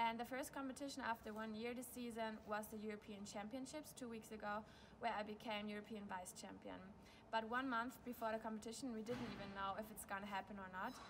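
Over noticeable background noise, a woman speaks with a German accent at a fairly high pitch. Her pace is very fast and her intonation fairly even. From Germany. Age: 20s. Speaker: speed skater. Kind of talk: sponsor video testimonial. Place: stadium. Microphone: phone near.

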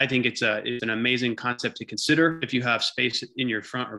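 A man talks at a very fast pace with a bright, sharp tone. His intonation stays fairly even against a quiet background. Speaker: presenter. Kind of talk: webinar presentation. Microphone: video call.

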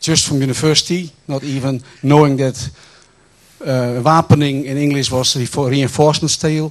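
The background is quiet as a man speaks at a moderate pace. His voice is fairly high, with monotone, flat intonation. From Netherlands. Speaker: water engineer and educator. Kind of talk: lecture; farewell lecture with anecdotes. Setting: stage with audience. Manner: halting. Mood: reflective, lightly humorous. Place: hall. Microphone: handheld.

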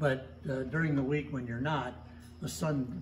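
Somewhat breathy speech with lively intonation plays over light background noise. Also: man. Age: 90s. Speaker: sailmaker. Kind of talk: casual interview. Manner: hesitant. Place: workshop. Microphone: phone near.

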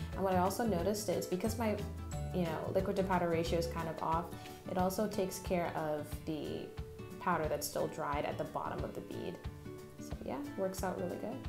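Clear music plays in the background as the speaker talks at a fairly quick pace. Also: woman. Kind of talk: tutorial voice-over. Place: bathroom.

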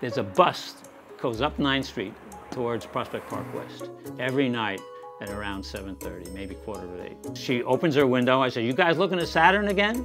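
Big swings in loudness and very wide pitch swings mark this man's fairly quick speech over clear background music. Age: 80s+. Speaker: amateur astronomer. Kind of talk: documentary interview answer. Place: home room.

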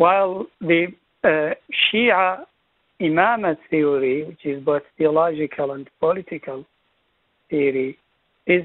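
Speech at a fairly slow pace, the sound dry with no echo and the background quiet. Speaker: presenter. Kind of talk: lecture. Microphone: video call.

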